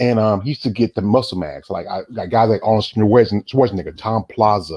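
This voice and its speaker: A man with a Southern US accent speaks with a fairly low pitch and a dark, mellow tone over a quiet background. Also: ordinary pitch variation, dry, close sound with no echo. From US South, North Carolina. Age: 40s. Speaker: interviewer. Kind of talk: casual interview.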